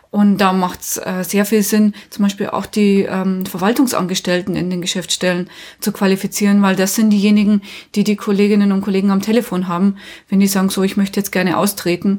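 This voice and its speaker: A woman speaks at a medium pitch in a flat monotone. Her voice is somewhat breathy and her pace fairly quick. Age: 40s. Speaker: union trainer. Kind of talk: interview.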